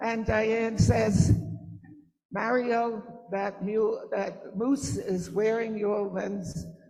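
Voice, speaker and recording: Speaking very slowly with fairly even intonation, a woman with a fairly high pitch is heard in a room with audible echo. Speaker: mother of the honoree. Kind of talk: storytelling at event.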